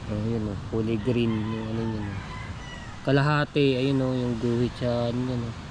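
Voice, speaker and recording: Noticeable background noise and audible room echo around a man's medium-pitched, monotone voice with flat intonation at a moderate pace. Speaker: vlogger. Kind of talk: casual vlog talk.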